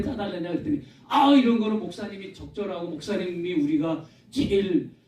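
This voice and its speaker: Noticeable background noise runs under a man's speech at a moderate pace. His tone is animated and his intonation lively. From South Korea, Gyeonggi (Yangpyeong/Yeoju). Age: 60s. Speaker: pastor. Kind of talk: public talk with Q&A. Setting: lecture hall with audience.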